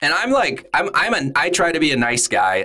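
A man speaks with an American accent and vocal fry. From Southern California. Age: 40s. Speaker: agency founder. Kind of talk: interview.

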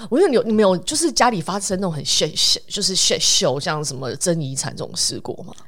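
A woman talking at a fairly quick pace with hardly any pauses, amid noticeable background noise. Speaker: podcast host. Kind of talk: casual chat.

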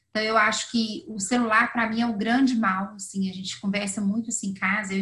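Speaking at a fairly quick pace, a woman uses a plain, everyday voice with fairly even intonation and a fairly high pitch. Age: 40s. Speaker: financial planner. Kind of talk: interview.

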